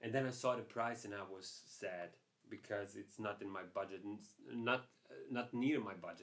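A man does the talking. All around him, the background stays quiet. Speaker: photography vlogger. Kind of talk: casual vlog chat. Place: home room.

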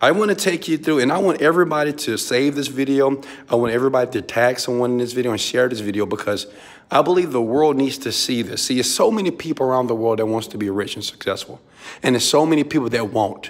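A man with an American accent talks at a very fast pace in an animated tone with lively intonation. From Houston, Texas. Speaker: entrepreneur and motivational mentor. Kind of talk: pep talk, motivational preaching. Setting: filming vlog video inside hotel suite in Dubai. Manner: animated, emphatic, call-and-response, loud. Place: home room. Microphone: phone near.

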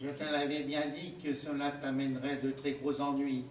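A man's put-on character voice, nasal and fairly high in pitch, with monotone, flat intonation, moderate pace and slight echo. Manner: reproachful.

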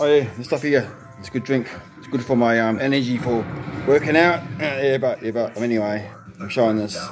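Over clear music in the background, a man talks at a fairly quick pace with big swings in loudness. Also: ordinary pitch variation. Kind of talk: casual vlog chat. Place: home room. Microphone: phone near.

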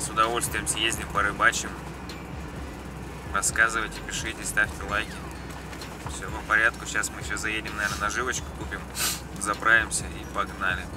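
A man speaks at a moderate pace, his pitch varying in an ordinary way, with long, frequent pauses. Music plays in the background, and the sound is dry with no echo. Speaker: vlogger. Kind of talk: casual vlog chat. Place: car. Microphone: phone near.

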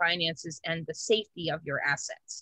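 Her fairly low voice carries a bright, sharp tone with ordinary pitch variation at a moderate pace, the sound dry with no echo and a quiet background. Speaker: insurance agent. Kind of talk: casual chat. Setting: video call. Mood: friendly, mildly excited. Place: home room. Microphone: video call.

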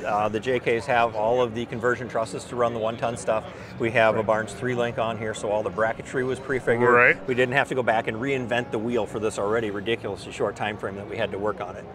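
A man talking at a very fast pace with fairly even intonation, dry with no echo, over noticeable background noise. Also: hardly any pauses. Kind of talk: interview answer. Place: hall. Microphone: phone near.

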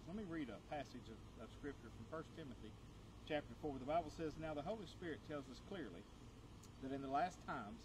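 At a fairly quick pace, the voice shows ordinary pitch variation against noticeable background noise. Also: man. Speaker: pastor. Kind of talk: sermon. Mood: warm, encouraging. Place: garden. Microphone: camera far.

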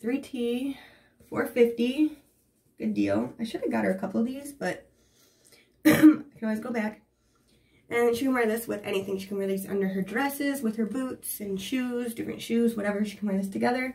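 At a moderate pace, a woman speaks in a dark, mellow tone with ordinary pitch variation. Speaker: haul vlogger. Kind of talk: casual vlog chat. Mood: excited, upbeat. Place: bathroom. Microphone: camera far.

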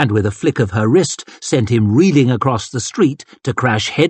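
The text is read in an unforced voice. Its intonation is lively.

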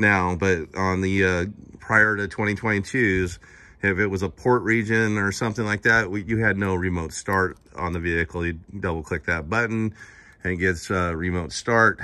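With a very deep, low pitch and a bright, sharp tone, a man talks at a moderate pace using fairly even intonation. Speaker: car salesman. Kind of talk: casual vehicle walkaround commentary. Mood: relaxed, conversational. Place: street. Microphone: phone near.

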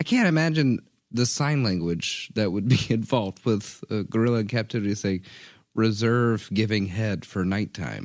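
A man talks at a fairly low pitch with ordinary pitch variation. The recording is very clean with a silent background. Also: moderate pace. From US South. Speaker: podcast co-host. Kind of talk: casual chat. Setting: studio recording booth.

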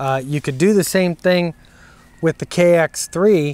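A man talks at a moderate pace with fairly even intonation. The sound is dry with no echo. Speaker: ham radio operator reviewing gear. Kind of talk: casual product review vlog. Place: open country. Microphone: lapel.

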